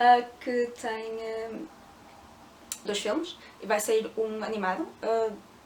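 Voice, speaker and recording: A woman with a fairly high pitch speaks at a very slow pace, with long, frequent pauses. Her loudness swings widely, and her pitch varies in an ordinary way. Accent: European Portuguese. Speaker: book youtuber. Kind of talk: book review vlog. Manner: hesitant with filler sounds.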